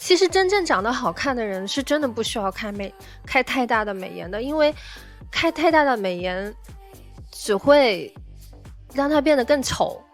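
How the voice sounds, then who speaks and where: Over music in the background, a woman speaks at a moderate pace in a high pitch with very wide pitch swings and long, frequent pauses. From China. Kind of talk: casual livestream chat to viewers.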